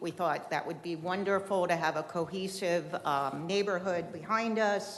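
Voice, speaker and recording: A woman speaks with a fairly low pitch. Her pace is moderate and her intonation fairly even. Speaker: local resident speaking at public comment. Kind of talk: public comment at city meeting. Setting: city commission meeting chamber. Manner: loud.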